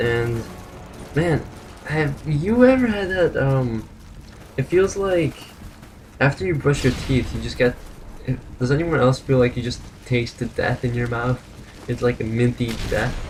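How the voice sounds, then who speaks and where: Mumbling at a fairly slow pace with long, frequent pauses, the speaker is heard over noticeable background noise. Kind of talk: casual gameplay commentary.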